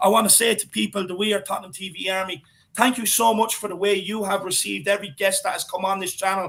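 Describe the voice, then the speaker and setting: A man with an Irish accent, high in pitch and animated in tone, at a very fast pace amid noticeable background noise. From Ireland. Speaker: football fan pundit. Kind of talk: casual chat.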